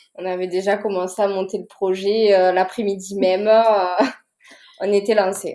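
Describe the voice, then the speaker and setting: A woman at a fairly slow pace, in a monotone with flat intonation. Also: medium pitch for a woman. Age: 20s. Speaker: nurse, rally participant. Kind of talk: podcast interview.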